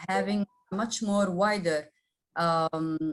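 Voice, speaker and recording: The woman's voice is somewhat breathy. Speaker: member of parliament. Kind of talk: panel discussion. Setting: webinar. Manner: halting, many fillers.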